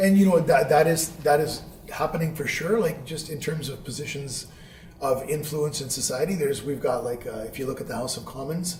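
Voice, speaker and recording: Over noticeable background noise, a man with a fairly high pitch and ordinary pitch variation speaks at a fairly quick pace, his loudness swinging widely. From Vancouver, Canada. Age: 40s. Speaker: teacher. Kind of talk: interview answer.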